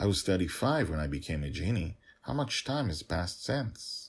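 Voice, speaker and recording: Using a put-on character voice, a man talks at a moderate pace with a fairly low pitch on a very clean recording with a silent background. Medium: read story.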